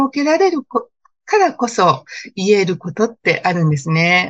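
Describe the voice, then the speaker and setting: A woman talks with very wide pitch swings. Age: 50s. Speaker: wedding planner. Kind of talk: interview.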